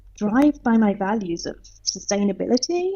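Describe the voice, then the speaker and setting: Someone with a British accent speaks at a moderate pace while music plays in the background. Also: woman. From southern England. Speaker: leadership coach. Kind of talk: podcast interview.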